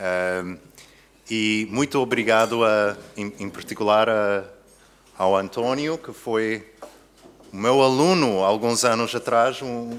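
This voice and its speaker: Speaking very slowly in an English accent, a man keeps a medium pitch and a fairly even intonation. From USA. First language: English (speaking Portuguese). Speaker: philosophy professor. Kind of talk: lecture. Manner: halting, with fillers and self-corrections.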